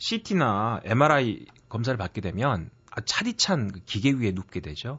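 A man is speaking. His voice is somewhat breathy. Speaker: professor. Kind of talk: book review chat. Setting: studio.

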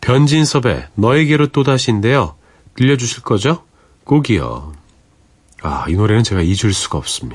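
Pitched in the medium range, a man speaks with vocal fry and very wide pitch swings, leaving long, frequent pauses. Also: moderate pace. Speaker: radio DJ. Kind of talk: late-night radio show. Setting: radio studio. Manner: warm, gentle storytelling.

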